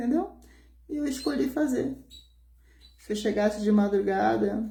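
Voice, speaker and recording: A soft-spoken, somewhat breathy woman with a dark, mellow tone and medium pitch, at a moderate pace, with audible room echo. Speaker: pastor. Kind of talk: sermon.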